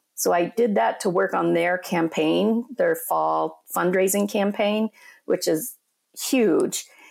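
A woman with an American accent speaks at a very slow pace and very even loudness, on a very clean recording with a silent background. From Colorado, Four Corners area. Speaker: nonprofit executive. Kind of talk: interview.

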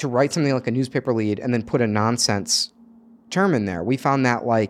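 Someone with a normal speaking voice talks at a fairly quick pace with ordinary pitch variation. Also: man. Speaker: game co-creator. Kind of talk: casual interview chat.

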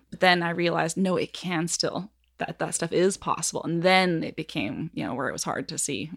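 A woman speaks at a moderate pace with a fairly low pitch and ordinary pitch variation. Her voice has vocal fry. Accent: Western Canadian. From Canada, Nelson, British Columbia. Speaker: horse trainer. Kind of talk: interview conversation.

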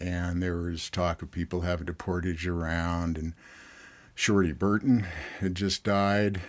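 A man's very deep, low, flat monotone at a fairly slow pace on a very clean recording with a silent background. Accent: Californian. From Southern California. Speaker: river outfitter and pilot. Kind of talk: interview.

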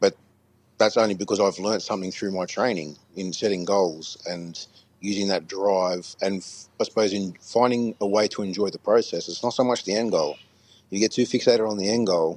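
A man with an Australian accent, fairly quick in pace and fairly even in intonation. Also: fairly low pitch for a man. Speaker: guest. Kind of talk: casual chat. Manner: hesitant.

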